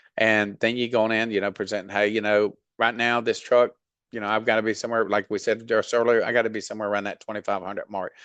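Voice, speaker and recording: This man has a Southern US accent and a medium pitch. He talks at a fairly quick pace. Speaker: freight dispatch trainer. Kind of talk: tutorial. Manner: casual, many fillers.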